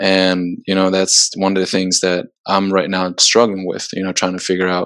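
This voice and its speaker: The speaker is a man with a very deep, low pitch. He talks at a moderate pace. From Sweden, moved to US at 14. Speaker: soccer player. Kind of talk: casual chat. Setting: video call.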